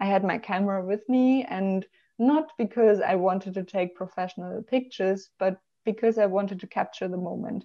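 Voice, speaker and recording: A woman with a German accent speaks with ordinary pitch variation over a quiet background. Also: moderate pace. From Germany. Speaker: travel blogger and marketing professional; travel blogger. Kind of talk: interview conversation. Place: home room. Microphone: video call.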